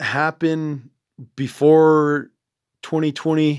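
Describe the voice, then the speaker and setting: On a very clean recording with a silent background, a man with a Navajo accent speaks at a fairly high pitch. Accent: Navajo-inflected American English. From Navajo Nation, US Southwest. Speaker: podcast host. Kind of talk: solo podcast monologue. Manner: halting, many fillers; sounds intellectual.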